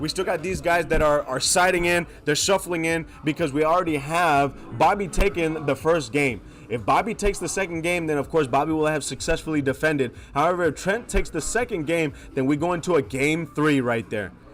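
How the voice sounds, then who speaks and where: Music plays in the background as a man talks at a fairly quick pace. His voice sits fairly high, with ordinary pitch variation. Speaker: tournament commentator. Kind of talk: live commentary. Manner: casual.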